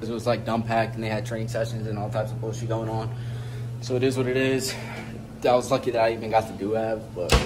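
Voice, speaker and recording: Very fast speech from a man, monotone and flat, over noticeable background noise. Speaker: fitness vlogger. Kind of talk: casual vlog chat. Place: gym. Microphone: phone near.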